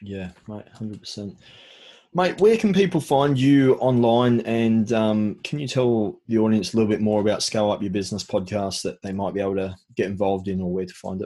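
Against a quiet background, a man with an Australian accent speaks fairly quickly at a fairly low pitch, with ordinary pitch variation and big swings in loudness. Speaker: podcast host. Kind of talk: casual interview; scripted show intro.

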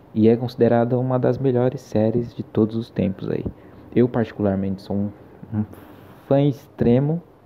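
Using fairly even intonation and a medium pitch, a man talks at a moderate pace with long, frequent pauses. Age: 20s. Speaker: podcast host, film student. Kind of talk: casual solo podcast monologue.

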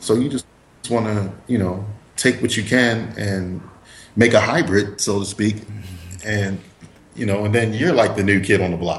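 A man with an American accent speaks at a moderate pace and a fairly low pitch, somewhat breathy and with fairly even intonation, leaving long, frequent pauses amid audible room echo. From US East Coast. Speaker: actor and comic book creator. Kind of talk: casual interview. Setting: Skype call.

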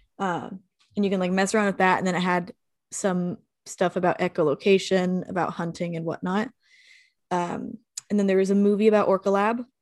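A woman with a slight Southern US accent talks at a fairly quick pace in a medium-pitched voice with fairly even intonation. The sound is dry and close with no echo, very clean, and the background is silent. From Texas. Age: 20s. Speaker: podcast guest and ocean advocate. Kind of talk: casual chat.

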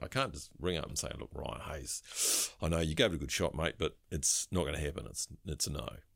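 Speaking at a fairly quick pace with a New Zealand accent, a man uses a very deep, low pitch with vocal fry, and the recording is very clean with a silent background. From New Zealand, New Plymouth, Taranaki. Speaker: recruitment firm director. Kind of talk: casual interview.

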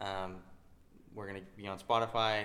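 With an American accent, a man speaks at a moderate pace in a fairly low pitch and fairly even intonation, an ordinary speaking voice. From Utah. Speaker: ATM business owner and podcast co-host. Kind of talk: casual chat. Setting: home.

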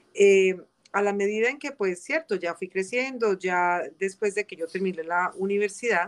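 Fairly slow speech from a woman, medium in pitch, with ordinary pitch variation. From Colombia, coffee region (Armenia, Quindío). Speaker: community legal and social services advisor. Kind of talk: interview. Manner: halting, many fillers.

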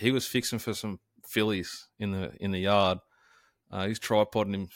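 At a fairly slow pace, a man with an Australian accent speaks in a fairly low pitch with monotone, flat intonation on a very clean recording with a silent background. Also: dry, close sound with no echo. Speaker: sports and racing podcast host. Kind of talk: casual chat.

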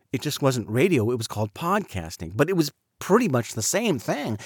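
A man with an American accent talks at medium pitch, his voice making very wide pitch swings. The sound is dry and close with no echo, on a very clean recording with a silent background. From Southern California. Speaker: voice actor and podcaster. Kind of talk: personal monologue.

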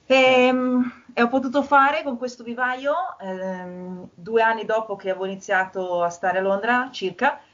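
Speaking at a moderate pace over noticeable background noise, a woman with a fairly high pitch shows ordinary pitch variation. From Milan, northern Italy. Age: 30s. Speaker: garden designer. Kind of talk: casual chat.

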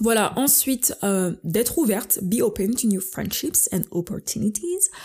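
Dark, mellow tone from a woman, her voice somewhat breathy. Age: 20s. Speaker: solo podcaster. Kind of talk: casual monologue. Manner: frequent English code-switching; hesitant, many fillers.

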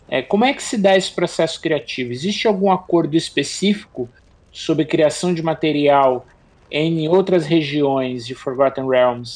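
Speaking with a Brazilian accent, a man uses a fairly high pitch. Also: ordinary pitch variation, moderate pace. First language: Portuguese. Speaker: podcast co-host. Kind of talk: interview.

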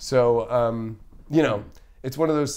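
With an ordinary speaking voice, a man talks at a moderate pace in a medium pitch with fairly even intonation. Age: 30s. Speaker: astrologer. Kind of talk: casual chat. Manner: casual.

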